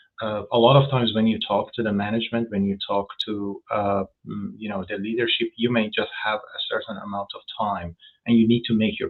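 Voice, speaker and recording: A man speaks with a non-native accent. His pace is fairly quick. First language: not English. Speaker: food safety executive. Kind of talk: interview. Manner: halting, many fillers and repetitions.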